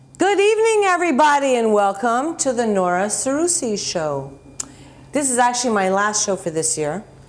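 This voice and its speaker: Recorded with audible room echo, a woman speaks at a moderate pace in a fairly high voice with very wide pitch swings. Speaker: talk show host. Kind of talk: TV interview. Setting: TV studio.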